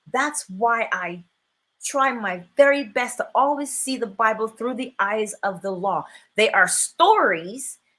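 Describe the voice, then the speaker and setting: Speaking with a Barbadian accent, a woman has a fairly high, bright, sharp voice and an animated tone. Her intonation is lively, though her pace is fairly slow. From Barbados. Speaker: spiritual teacher and livestream host. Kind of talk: live stream talk with chat. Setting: live stream.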